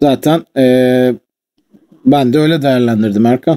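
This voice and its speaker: A man's medium-pitched, dark, mellow voice at a fairly slow pace, with a dry, close sound and no echo. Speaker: streamer. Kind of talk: casual chat.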